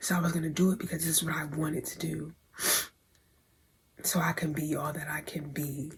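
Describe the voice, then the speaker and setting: A woman's very deep, low voice in a monotone, flat delivery at a fairly quick pace, broken by long, frequent pauses. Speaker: vlogger, aspiring model. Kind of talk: casual vlog storytelling.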